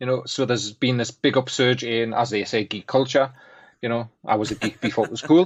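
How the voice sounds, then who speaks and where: With a Geordie accent, a man speaks in a fairly even intonation. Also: medium pitch for a man, fairly quick pace. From northern England, Newcastle. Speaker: graphics artist and guest co-host. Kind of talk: casual chat.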